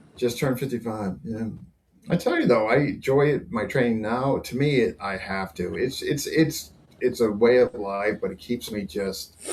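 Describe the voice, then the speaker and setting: An ordinary speaking voice from a man, medium-pitched, at a moderate pace. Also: ordinary pitch variation. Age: 60s. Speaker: martial arts instructor, podcast co-host. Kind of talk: casual chat.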